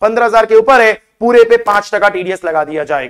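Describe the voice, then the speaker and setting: A man with a high pitch at a moderate pace, against a quiet background. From India. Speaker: chartered accountant tax teacher; tax lecturer. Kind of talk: lecture.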